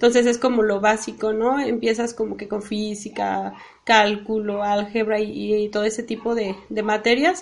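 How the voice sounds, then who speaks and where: Noticeable background noise accompanies a speaker with a Mexican accent at a moderate pace. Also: woman, fairly high pitch for a woman, fairly even intonation. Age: 30s. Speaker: civil engineer. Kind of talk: interview. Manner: halting.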